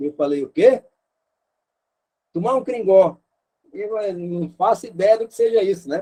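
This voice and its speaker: Speaking at a fairly slow pace with long, frequent pauses, a man with a high pitch and a dark, mellow tone uses lively intonation. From Rio de Janeiro, Brazil. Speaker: missionary teacher. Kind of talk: online lecture.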